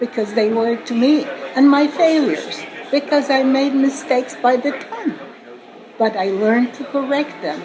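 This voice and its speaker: With audible room echo and noticeable background noise, a woman talks at a moderate pace in a high pitch with ordinary pitch variation. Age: 80s+. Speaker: author and entrepreneur. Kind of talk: interview. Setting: conference. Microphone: poor audio quality.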